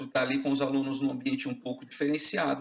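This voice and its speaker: With very wide pitch swings, a man talks at a fairly quick pace over noticeable background noise. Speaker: chemistry teaching lecturer. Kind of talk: lecture. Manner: fast.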